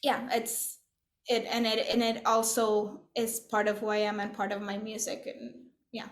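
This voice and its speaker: A woman's fairly high, monotone voice with flat intonation, a fairly slow pace, long and frequent pauses, and audible room echo. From Puerto Rico. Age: 40s. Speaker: composer. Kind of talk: interview conversation. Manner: halting, many fillers and restarts.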